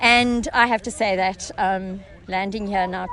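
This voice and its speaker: Noticeable background noise sits behind speech that keeps a moderate pace and fairly even intonation. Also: woman. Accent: slight South African. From South Africa, Cape Town. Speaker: parkrun participant. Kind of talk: casual interview.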